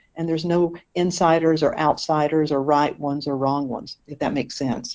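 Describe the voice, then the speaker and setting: A woman speaks in a Southern US accent at a fairly low pitch. Her pace is fairly quick. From eastern North Carolina, US South. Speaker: minister. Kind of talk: interview.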